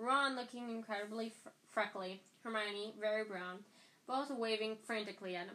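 The speaker reads aloud in a natural voice, with ordinary pitch variation.

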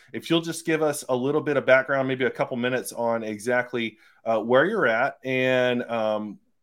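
A man speaks in an ordinary speaking voice of medium pitch with ordinary pitch variation. The recording is very clean, with a silent background. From US South (Phenix City / Columbus, Georgia-Alabama area). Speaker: podcast host interviewing real estate agents. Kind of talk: interview. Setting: at home, vacuum and child in background.

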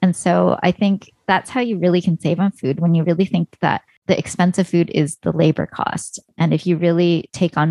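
A woman with a Canadian accent and a plain, everyday voice, fairly low-pitched, with fairly even intonation and a dry, close sound with no echo. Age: 40s. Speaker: personal finance blogger and podcaster. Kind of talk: interview.

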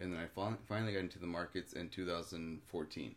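Speaking at a fairly quick pace, a man uses a very deep, low voice with fairly even intonation. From Mexico. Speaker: cryptocurrency ATM business owner. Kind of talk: casual chat.

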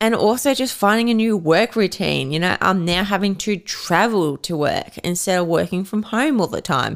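A woman's medium-pitched voice with an Australian accent, lively intonation and a very slow pace. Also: very clean recording, silent background. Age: 20s. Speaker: podcast host and personal trainer. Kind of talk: casual solo podcast chat.

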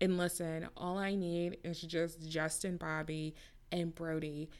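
A woman speaks at a fairly slow pace. Her pitch sits fairly low. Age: 30s. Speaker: TV recap podcaster. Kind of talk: casual solo recap. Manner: animated.

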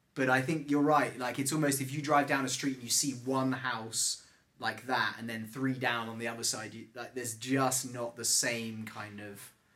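A man with a London accent has a bright, sharp tone and a medium pitch. His intonation is fairly even, while his loudness swings a lot. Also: moderate pace, hardly any pauses. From London, England. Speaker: podcast host and real estate agent. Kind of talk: casual interview chat.

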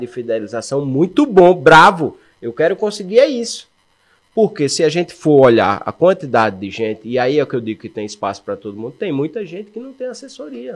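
A man with a fairly high voice talks at a fairly quick pace, his pitch swinging very widely. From Brazil, Alagoas (Maceió). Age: 40s. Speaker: running shoe store owner and runner. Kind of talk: casual interview chat.

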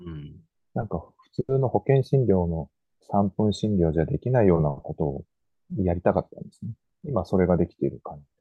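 The speaker uses lively intonation, with long, frequent pauses. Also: man, very deep, low pitch for a man. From Miyako Island, Okinawa. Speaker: physician. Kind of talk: radio interview.

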